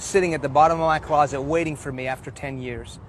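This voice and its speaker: Here a man with an ordinary speaking voice talks in an American accent at a fairly high pitch. His pace is fairly quick and his intonation fairly even. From Houston, Texas (early childhood partly in Iran). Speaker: preacher. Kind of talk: testimony. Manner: earnest.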